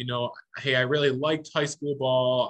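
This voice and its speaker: Speaking with an American accent, a man uses a medium pitch. His pace is moderate and his pitch variation ordinary. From western New York (Niagara County). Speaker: baseball umpire. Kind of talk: casual interview chat.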